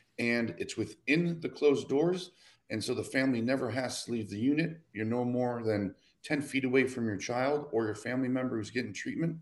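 Speaking at a fairly quick pace, a man has an unremarkable speaking voice, a medium pitch and ordinary pitch variation. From Michigan, Detroit. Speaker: nonprofit program coordinator. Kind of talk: casual chat.

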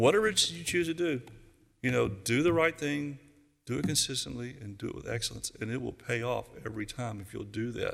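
Here a man speaks at a fairly quick pace with a medium pitch. His intonation is lively, with vocal fry. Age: 70s. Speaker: youth pastor. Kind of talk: sermon.

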